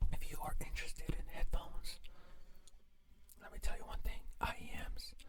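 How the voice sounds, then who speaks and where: A whisper at a moderate pace, broken by long, frequent pauses. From Mexico. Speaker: ASMR creator. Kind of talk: casual rambling ASMR mukbang. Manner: whispered ASMR.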